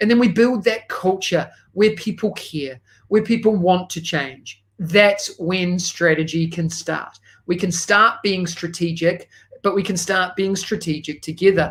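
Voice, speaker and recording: A man with a New Zealand accent speaks at a fairly slow pace in a high pitch, keeping his intonation fairly even. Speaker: educational technology consultant. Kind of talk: conference presentation.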